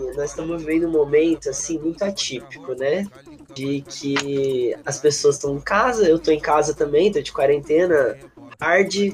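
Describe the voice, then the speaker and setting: A man's fairly high voice comes at a moderate pace, its pitch rising and falling in an ordinary way, with noticeable noise in the background. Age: 20s. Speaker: student union president. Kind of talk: casual interview.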